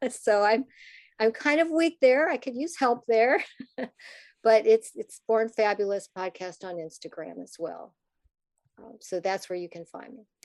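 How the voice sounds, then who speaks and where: Over a quiet background with a dry, close sound and no echo, a woman with an American accent speaks slowly at a fairly high pitch, using very wide pitch swings, big swings in loudness and long, frequent pauses. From US Midwest, Minnesota. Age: 60s. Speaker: podcast host and parent advocate. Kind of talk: interview conversation.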